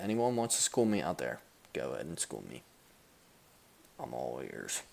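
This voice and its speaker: At a moderate pace, a man with a very deep, low voice and vocal fry swings very widely in pitch. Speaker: sports podcast host. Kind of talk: casual chat. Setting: at home. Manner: animated.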